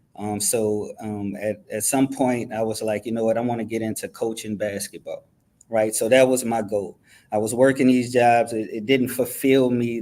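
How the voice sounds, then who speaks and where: With a strong New Orleans accent, the speaker goes at a moderate pace in monotone, flat intonation. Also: man. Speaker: university athletic director. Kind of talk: interview.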